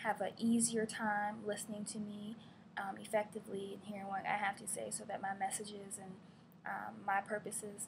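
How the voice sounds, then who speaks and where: Speaking at a moderate pace, a woman with an American accent keeps a medium pitch and a monotone, flat intonation. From Virginia, Gloucester (US South). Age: 20s. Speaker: graduate student. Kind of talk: class presentation. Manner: hesitant, many fillers.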